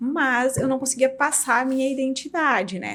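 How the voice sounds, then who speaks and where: A woman talks at a moderate pace. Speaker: dermatologist and clinic owner. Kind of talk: podcast interview. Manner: assertive.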